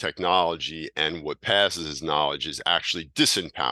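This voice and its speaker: Over a quiet background, a man speaks at a very deep, low pitch and moderate pace in a bright, sharp tone with vocal fry, the sound dry and close with no echo. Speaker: teacher of hermetic esotericism. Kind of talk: lecture. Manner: halting.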